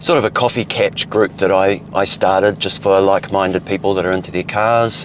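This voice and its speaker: A man's fairly low voice at a fairly quick pace, monotone and flat, with hardly any pauses and noticeable background noise. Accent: New Zealand. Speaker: car vlogger. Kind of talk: casual vlog narration while driving. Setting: in a car. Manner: loud.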